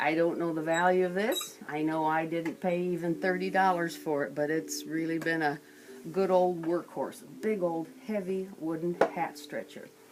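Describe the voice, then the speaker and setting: Noticeable background noise runs throughout. The speaking pace is moderate. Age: old. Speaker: museum owner and guide. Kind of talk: guided museum tour.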